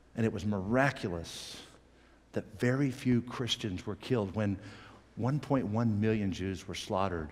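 A man speaks at a fairly low pitch. His pace is fairly slow, with ordinary pitch variation.

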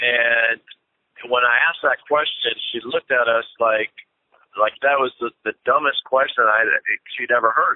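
A man speaks at a moderate pace. The sound is dry with no echo. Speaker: church planter. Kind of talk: interview answer. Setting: phone line. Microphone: phone line.

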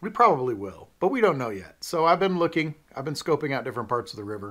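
Talking at a very fast pace, a man shows vocal fry and very wide pitch swings. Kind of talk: casual vlog chat. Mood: friendly, lightly joking. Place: office.

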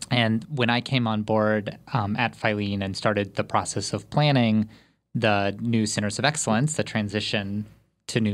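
In a very clean recording with a silent background, a man with a normal speaking voice talks at a moderate pace and a medium pitch. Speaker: research interviewer. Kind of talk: interview conversation.

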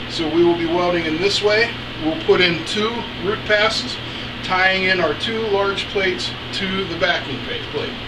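A man with a high pitch, ordinary pitch variation, a fairly slow pace, few pauses and clear background noise.

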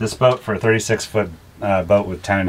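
Monotone, flat intonation marks this man's fairly low-pitched voice. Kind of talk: casual tour explanation. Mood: relaxed, joking. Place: boat. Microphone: camera far.

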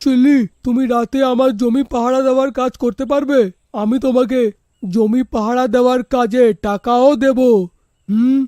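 In a cartoonish character voice, a man speaks at an extremely high pitch and a fairly slow pace with fairly even intonation, the sound dry and close with no echo.

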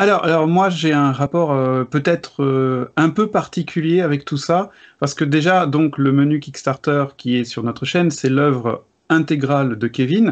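Fairly high-pitched male voice at a fairly slow pace, with ordinary pitch variation over a quiet background. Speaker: board game video creator. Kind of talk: casual debate. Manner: energetic. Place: home room.

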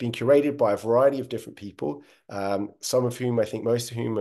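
Over a quiet background, a man talks at a very fast pace in a dark, mellow tone with ordinary pitch variation. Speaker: project host. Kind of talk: webinar presentation. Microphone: webcam.

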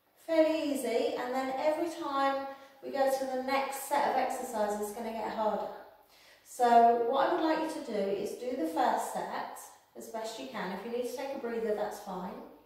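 A high-pitched woman, with big swings in loudness and strong room echo. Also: moderate pace. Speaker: exercise instructor. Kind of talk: tutorial. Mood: calm, encouraging. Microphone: camera far.

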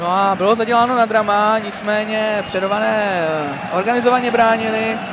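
A high-pitched man speaks at a fairly slow pace with fairly even intonation, over noticeable background noise. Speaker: sports commentator. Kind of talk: live-style sports commentary over match highlights.

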